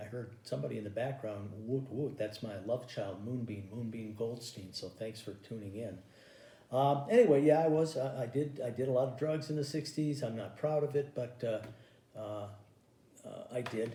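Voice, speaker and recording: A man's dark, mellow, somewhat breathy voice at medium pitch, with ordinary pitch variation, a moderate pace and audible room echo. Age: 60s. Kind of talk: stand-up. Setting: home recording.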